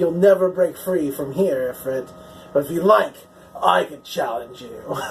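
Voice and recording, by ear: A man's put-on character voice, high-pitched and at a moderate pace, with clear music in the background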